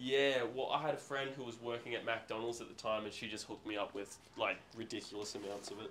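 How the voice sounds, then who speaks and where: A man with an Australian accent talks at a very fast pace with hardly any pauses. His intonation is fairly even, over light background noise. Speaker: seller at garage sale. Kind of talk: casual chat. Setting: outdoors. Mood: relaxed, chatty. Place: garage. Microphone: phone near.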